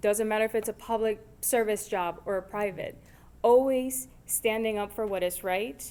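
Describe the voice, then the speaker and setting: At a moderate pace, a woman talks in a fairly high pitch with a dark, mellow tone and fairly even intonation. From Puerto Rico. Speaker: advocacy organization state director. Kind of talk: convention speech. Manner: halting, with fillers and repetitions.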